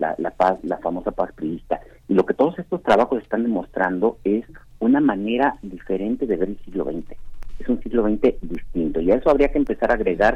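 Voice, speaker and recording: Here a man speaks at a moderate pace with a fairly low pitch. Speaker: historian. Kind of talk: book review on radio. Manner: halting with many repetitions.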